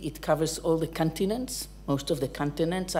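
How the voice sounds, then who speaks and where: With vocal fry and a very deep, low pitch, a woman speaks over light background noise. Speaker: academic lecturer. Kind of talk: lecture. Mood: warm, lightly humorous. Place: hall.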